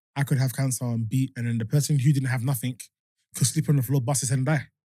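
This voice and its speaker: A man with a London accent at a very fast pace, medium in pitch, somewhat breathy, with a dark, mellow tone. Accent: London English, multicultural. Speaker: music producer and cancer survivor. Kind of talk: casual podcast chat.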